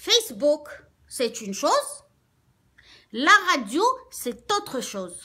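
Over a quiet background, the voice is raised and projected, animated and bright, sharp in tone, with very wide pitch swings, a moderate pace and long, frequent pauses. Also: woman, high pitch for a woman. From Algeria. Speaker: radio host. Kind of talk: casual rant to audience, code-switching. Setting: online video, address to viewers. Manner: animated, emphatic. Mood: defiant, proud. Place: home room. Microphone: phone near.

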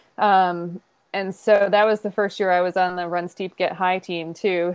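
With an American accent and medium pitch, a woman speaks in monotone, flat intonation, the sound dry with no echo and the background quiet. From US East Coast. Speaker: ultrarunner and race director; podcast guest. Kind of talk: casual interview chat. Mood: friendly, smiling. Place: home room. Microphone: earbuds.

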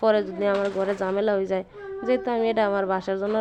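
A woman with medium pitch and fairly even intonation speaks over noticeable background noise. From Bangladesh, regional dialect area. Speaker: homemaker cooking vlogger. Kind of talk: casual cooking vlog in regional dialect. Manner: chatty, conversational.

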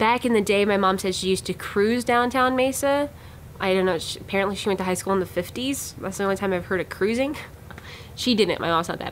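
A woman at a very fast pace, ordinary pitch variation, light background noise. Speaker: vlog host. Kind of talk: casual vlog chat. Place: office. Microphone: phone near.

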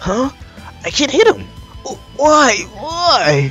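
A man puts on a character voice pitched extremely high for a man, bright and sharp in tone, with very wide pitch swings. He goes at a slow pace while faint music plays in the background.

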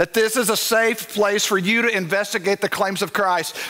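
In an American accent, a man with a high pitch uses a raised, projected voice at a moderate pace with ordinary pitch variation. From East Texas. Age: 40s. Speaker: pastor. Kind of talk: sermon. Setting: church with live congregation. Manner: animated. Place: church.

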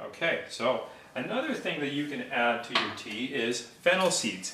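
A medium-pitched male voice over noticeable background noise. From India. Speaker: mortgage broker; presenter. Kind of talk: cooking tutorial. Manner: casual, conversational. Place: kitchen. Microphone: phone near.

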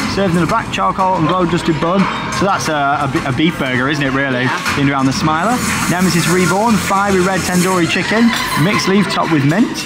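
A man talks fairly quickly amid loud background noise. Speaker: theme park vlogger. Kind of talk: casual vlog commentary. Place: cafe.

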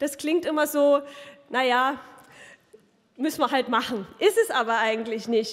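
A woman's voice at a moderate pace, ordinary pitch variation, quiet background. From Saxony. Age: 30s. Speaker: politician. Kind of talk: campaign speech. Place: hall. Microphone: podium.

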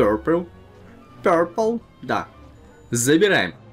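A man at a fairly slow pace, with faint music in the background. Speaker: game streamer. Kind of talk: gameplay commentary.

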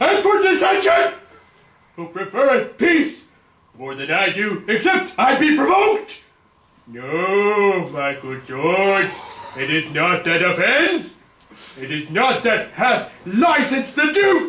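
Raised and projected, a man's put-on character voice sits high in pitch with very wide pitch swings. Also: fairly slow pace. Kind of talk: overacted Shakespeare reading. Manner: defiant, rising to outrage.

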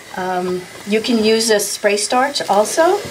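Noticeable background noise behind a female speaker. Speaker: quilting instructor. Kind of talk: tutorial.

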